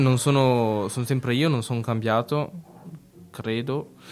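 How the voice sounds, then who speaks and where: Over music in the background, a man of medium pitch talks at a fairly slow pace with long, frequent pauses. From Italy, Italian-speaking region. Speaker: radio host. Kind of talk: radio show presentation. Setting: studio. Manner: halting, hesitant with repetitions.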